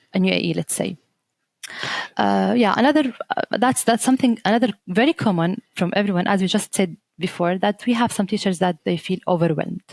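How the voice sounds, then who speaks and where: With an Arabic accent and some vocal fry, a woman speaks at a medium pitch and a moderate pace with ordinary pitch variation, in a dry, close sound with no echo. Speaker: teacher trainer. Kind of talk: podcast interview. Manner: halting, many fillers and restarts.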